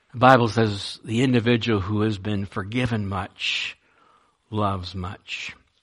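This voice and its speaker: A man's fairly low voice, a normal speaking voice, at a fairly slow pace with fairly even intonation. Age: 60s. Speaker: pastor. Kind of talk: sermon. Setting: church.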